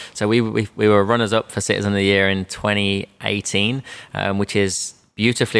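In an Australian accent, the speaker talks at a fairly quick pace in a monotone, flat intonation, with a dry, close sound and no echo. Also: man. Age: 30s. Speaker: sales trainer and business owner. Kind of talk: interview.

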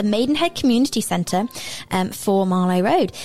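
Lively intonation from a woman, over noticeable background noise. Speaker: radio host. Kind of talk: radio show presenting and interview. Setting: radio studio. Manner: animated, enthusiastic.

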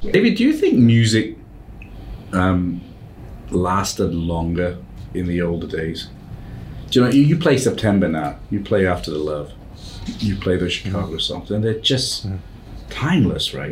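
Audible room echo surrounds a man with a very deep, low voice who speaks with lively intonation and long, frequent pauses. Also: moderate pace. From Malaysia. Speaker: podcast host. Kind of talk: interview conversation.

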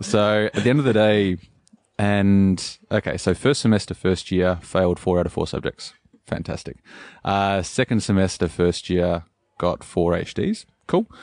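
This man has a plain, everyday voice, fairly low in pitch with fairly even intonation. He goes at a moderate pace over a quiet background. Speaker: cafe owner. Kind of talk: interview.

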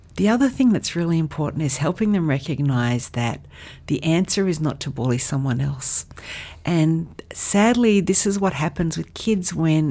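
A woman's dark, mellow, very deep and low voice with an Australian accent and lively intonation, at a moderate pace, on a very clean recording with a silent background. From Australia, western Sydney. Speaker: charity CEO. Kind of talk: podcast interview.

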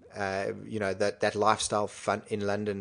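Against a quiet background, a man speaks with a fairly low pitch and vocal fry. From South Africa, Cape Town. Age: 30s. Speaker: sports business co-founder. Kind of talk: casual interview.

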